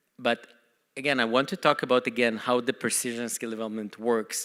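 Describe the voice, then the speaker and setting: On a very clean recording with a silent background, a man talks at a fairly quick pace in a bright, sharp tone with fairly even intonation. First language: not English. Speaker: company CEO. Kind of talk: conference talk.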